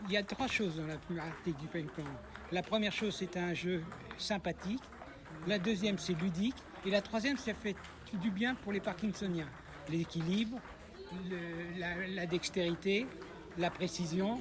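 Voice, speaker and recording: A man speaks at a fairly slow pace with a high pitch and ordinary pitch variation. Long, frequent pauses break up his speech over noticeable background noise. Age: 60s. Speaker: table tennis player with Parkinson's. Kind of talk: interview.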